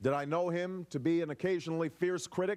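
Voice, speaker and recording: A man with a fairly high pitch speaks at a fairly quick pace with ordinary pitch variation on a very clean recording with a silent background. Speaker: politician. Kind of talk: formal political speech.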